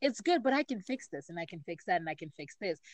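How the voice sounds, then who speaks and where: In a dry, close recording with no echo, a woman at medium pitch speaks with very wide pitch swings. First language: not English. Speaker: podcast co-host and poet. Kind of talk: casual chat.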